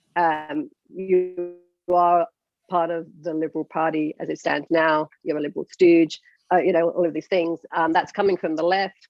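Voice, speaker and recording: In a British accent, a woman speaks at a moderate pace and fairly low pitch, her intonation monotone and flat. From UK. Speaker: podcast host. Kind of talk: interview.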